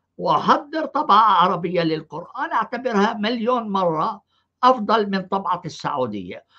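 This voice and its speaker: A man's raised, projected voice, bright and sharp in tone, with very wide pitch swings at a very slow pace. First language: Arabic (speaking French). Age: 70s. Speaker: professor and channel host, Quran scholar. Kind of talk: live online discussion, translating into Arabic. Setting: live stream / online call. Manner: hesitant, many filler sounds.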